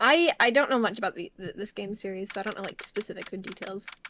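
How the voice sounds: The pitch varies in an ordinary way. It belongs to a natural reading voice.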